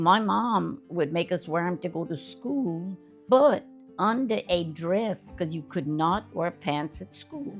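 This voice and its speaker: A fairly slow pace in a Southern US accent, with very wide pitch swings and music in the background. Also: woman, fairly low pitch for a woman. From Central Louisiana. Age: 80s+. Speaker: elder interviewee. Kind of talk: interview answer.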